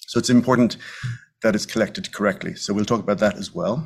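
Speaking at a very fast pace with a Dublin accent, a man uses a medium pitch and very wide pitch swings. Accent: Irish (Dublin). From Ireland, Dublin. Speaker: physician, medical geneticist. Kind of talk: lecture.

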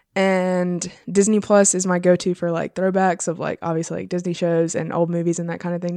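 A woman with an American accent speaks in an unremarkable speaking voice at a medium pitch. Her pace is moderate, with a quiet background. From South Carolina, Florence. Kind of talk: casual interview.

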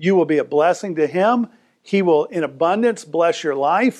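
In a quiet background, a man speaks at a moderate pace with a fairly high pitch and ordinary pitch variation. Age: 50s. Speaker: preacher. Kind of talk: sermon. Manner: animated.

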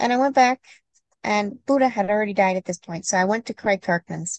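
A woman's medium-pitched voice comes through dry and close, with no echo. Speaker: certified skeet shooting instructor and podcast co-host. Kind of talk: casual instructional podcast chat.

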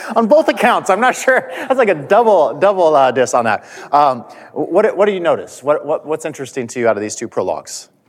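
At a fairly quick pace, a man speaks with vocal fry and very wide pitch swings. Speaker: church class teacher and college administrator. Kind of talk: Bible class teaching. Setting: church classroom with attendees at tables. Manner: fast talker.

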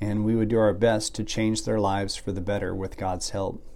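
In a room with audible echo, a man talks at a moderate pace with a dark, mellow tone and a fairly low pitch. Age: 50s. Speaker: ministry podcast host. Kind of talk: devotional monologue. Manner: reflective.

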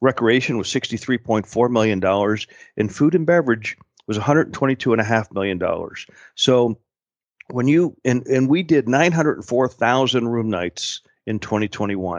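In an American accent, a man speaks at a moderate pace and medium pitch with a plain, everyday voice, the sound dry and close with no echo. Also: ordinary pitch variation. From Pittsburgh, Pennsylvania. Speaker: tourism executive. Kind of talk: interview.

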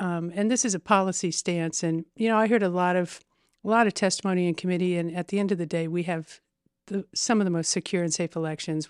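On a very clean recording with a silent background and a dry, close sound with no echo, a woman with a Midwestern American accent talks at a fairly quick pace in a fairly low pitch. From Indiana, Terre Haute. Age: 50s. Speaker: state legislator and math teacher. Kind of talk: casual interview.

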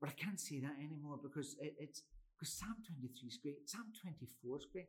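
Lively intonation from a man whose voice is somewhat breathy. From Scotland, Glasgow. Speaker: Presbyterian minister and chaplain. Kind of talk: casual interview. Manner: repetitive false starts.

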